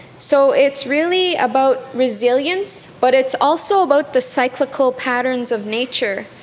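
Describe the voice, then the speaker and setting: With hardly any pauses, a woman speaks at a high pitch and a fairly slow pace, with ordinary pitch variation. Noticeable background noise can be heard. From Kitigan Zibi reserve, Outaouais, Quebec. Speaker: artist, graduate student. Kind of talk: interview.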